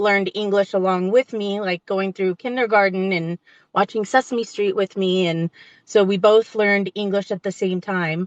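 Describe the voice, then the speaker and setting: A woman with a Spanish accent speaks at a moderate pace and medium pitch, her intonation fairly even. The sound is dry and close with no echo, over a quiet background. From Las Vegas, Nevada (Mexican family). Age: 40s. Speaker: trauma survivor and public speaker. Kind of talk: podcast interview. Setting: in a car, livestream. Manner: articulation issues, sometimes stumbles over words.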